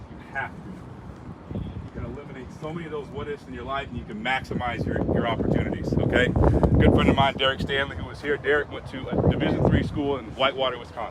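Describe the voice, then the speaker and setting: Amid noticeable background noise and audible room echo, a man talks very fast with hardly any pauses, at a medium pitch with ordinary pitch variation and big swings in loudness. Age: 30s. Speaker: former football quarterback, motivational speaker. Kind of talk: motivational talk to young players. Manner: animated.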